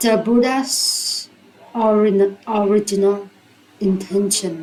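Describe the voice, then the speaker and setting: A woman's medium-pitched voice with a non-native accent, fairly even intonation and a very slow pace, over noticeable background noise. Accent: non-native, own. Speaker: English learner. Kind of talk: reading aloud of a religious book. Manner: hesitant, repeats words.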